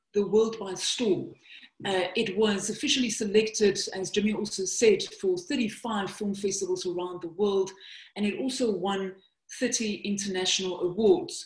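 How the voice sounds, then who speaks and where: In a South African accent, a woman talks at a medium pitch with ordinary pitch variation and a somewhat breathy quality. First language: Afrikaans. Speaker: documentary filmmaker and presenter. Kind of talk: webinar presentation.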